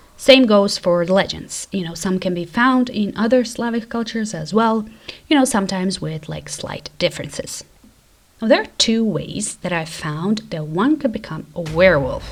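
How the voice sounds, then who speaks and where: Speaking with a Croatian accent, a woman uses lively intonation at a medium pitch. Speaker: YouTuber. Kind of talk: casual video narration.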